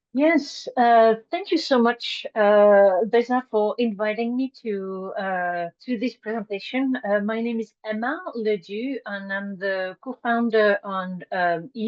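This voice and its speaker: Talking very slowly in a French accent, a woman uses a fairly high voice with ordinary pitch variation. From France, Brittany. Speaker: nonprofit co-founder. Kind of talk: presentation. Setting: video call. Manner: halting, many fillers.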